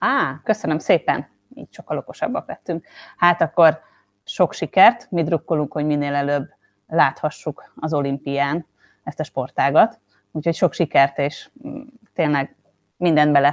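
At a fairly slow pace with long, frequent pauses, a woman with a very deep, low pitch and ordinary pitch variation is recorded dry and close with no echo, in a very clean recording with a silent background. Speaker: podcast host. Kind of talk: interview.

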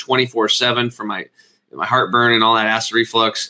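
A man is talking. He has a bright, sharp tone. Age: 40s. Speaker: health and wellness speaker. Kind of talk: interview; guided relaxation. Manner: energetic; animated.

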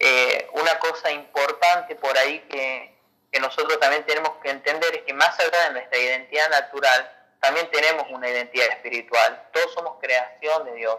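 Moving at a moderate pace, a man talks with ordinary pitch variation. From Argentina, Salta. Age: 30s. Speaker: pastor. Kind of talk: casual chat.

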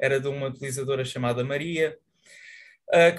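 A man talks at a moderate pace with fairly even intonation. His voice is somewhat breathy. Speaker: student magazine member. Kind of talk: online editorial meeting.

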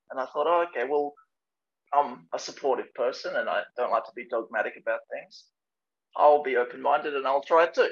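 Big swings in loudness mark a man's speech at a fairly quick pace. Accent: Australian. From Adelaide, South Australia. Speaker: traditional archer. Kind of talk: casual interview.

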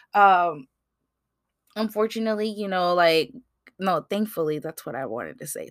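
A woman speaks with lively intonation. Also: dry, close sound with no echo. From US, Mexican-American family. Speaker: podcast host. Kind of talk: casual solo monologue. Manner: casual, filler-heavy.

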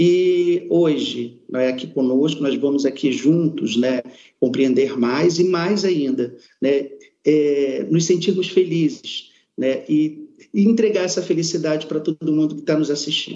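A man with a normal speaking voice talks at a fairly slow pace, his pitch fairly high with ordinary variation. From Amazonas, Brazil. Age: 40s. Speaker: product management employee. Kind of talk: corporate panel discussion. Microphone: connection delay.

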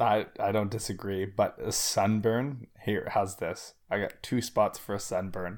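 Here a man has an unremarkable speaking voice, fairly low in pitch, with fairly even intonation. He talks at a fairly slow pace on a very clean recording with a silent background. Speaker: podcast co-host. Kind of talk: casual chat.

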